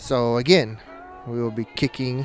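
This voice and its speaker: Noticeable background noise sits behind a man's voice. He speaks at a medium pitch, flat and monotone. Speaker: sports play-by-play commentator. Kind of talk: live commentary.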